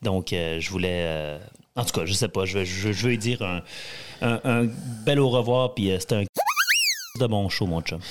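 A man with a fairly low pitch speaks at a very slow pace over noticeable background noise. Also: ordinary pitch variation. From Quebec, Saguenay (Jonquière). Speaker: country singer. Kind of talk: interview.

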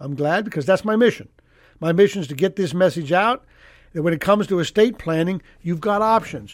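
A man talks at a high pitch and a fairly quick pace. His pitch varies in an ordinary way. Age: 60s. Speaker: estate planning attorney and radio host. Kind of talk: radio call-in advice show. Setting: radio studio. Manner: casual, conversational.

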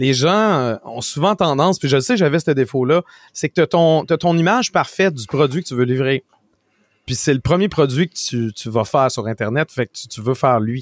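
In a very clean recording with a silent background and dry, close sound with no echo, a man with a fairly high pitch speaks at a moderate pace, his intonation lively and his loudness swinging widely. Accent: Quebec. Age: 40s. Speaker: tech and video game commentator, streamer. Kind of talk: casual interview.

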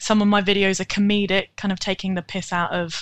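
A woman with a British accent speaks at a moderate pace in monotone, flat intonation, the sound dry and close with no echo in a very clean recording with a silent background. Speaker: rat owner and rat-themed account creator. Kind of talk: casual interview chat.

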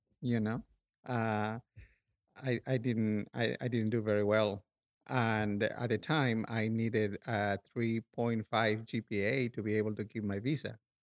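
A man with a Peruvian accent talks at medium pitch and a fairly slow pace, with fairly even intonation. The sound is dry and close with no echo, on a very clean recording with a silent background. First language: Spanish. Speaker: sculptor and painter. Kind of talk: casual interview.

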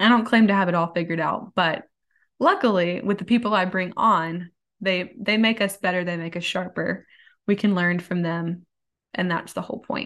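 Against a quiet background, a woman talks at a moderate pace in a medium-pitched voice with fairly even intonation. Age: 20s. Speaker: podcast host. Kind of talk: solo casual monologue.

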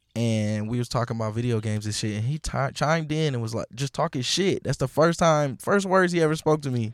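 A man with an American accent and an ordinary speaking voice talks at a fairly quick pace with hardly any pauses, medium pitch and lively intonation, on a very clean recording with a silent background and a dry, close sound with no echo. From Milwaukee, US Midwest. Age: 20s. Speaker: DJ. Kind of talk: casual chat.

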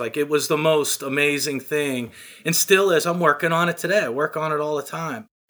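A man speaks at a moderate pace with a bright, sharp tone in a very clean recording with a silent background. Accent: American. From western Pennsylvania, small town near Pittsburgh. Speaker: landscaping business owner. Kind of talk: casual interview.

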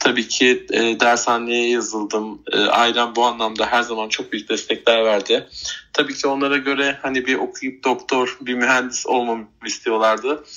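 Hardly pausing, a man speaks at a moderate pace and medium pitch with monotone, flat intonation. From Turkey, Bursa. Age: 30s. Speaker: retail worker and animal rescuer. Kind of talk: interview. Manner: halting, many fillers.

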